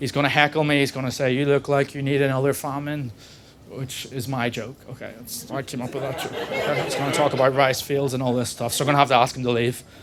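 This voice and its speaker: With a Northern Irish accent, a man talks very fast in a flat, monotone delivery over noticeable background noise. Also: medium pitch for a man. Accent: regional Northern Irish. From Northern Ireland, Belfast. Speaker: stand-up comedian. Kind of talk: stand-up. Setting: comedy club stage with audience.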